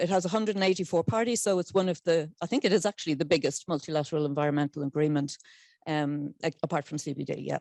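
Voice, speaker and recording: A woman speaks with an Irish accent in a fairly low pitch and a dark, mellow tone. The sound is dry and close with no echo, and the recording is very clean with a silent background. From Ireland. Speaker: convention secretariat scientific officer. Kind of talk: conference presentation.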